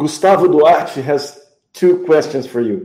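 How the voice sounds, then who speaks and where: Very slowly, a man with a Portuguese accent speaks at a fairly high pitch in a dark, mellow tone, with audible room echo. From Brazil. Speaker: musician and music show host. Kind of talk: live interview.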